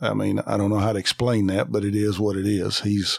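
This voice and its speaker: A man with a Southern US accent, very fast, fairly low in pitch and fairly even in intonation, on a very clean recording with a silent background. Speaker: coon hunter, co-host. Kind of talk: casual chat.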